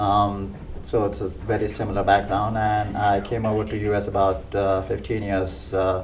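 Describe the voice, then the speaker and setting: Noticeable background noise mixes with audible room echo throughout the clip. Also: man. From India (Bhubaneswar, Orissa). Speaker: charity president. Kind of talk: interview.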